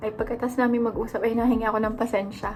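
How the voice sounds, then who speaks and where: With noticeable background noise, a woman talks at a fairly quick pace in a fairly high pitch. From Philippines. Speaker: stay-at-home mom vlogger. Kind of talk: casual vlog chat. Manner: chatty. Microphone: no microphone, leaning close to camera.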